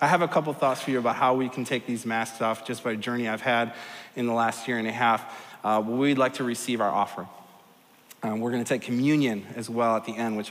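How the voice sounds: Talking fast with fairly even intonation, a man has a medium-pitched voice with a fairly bright tone and audible room echo.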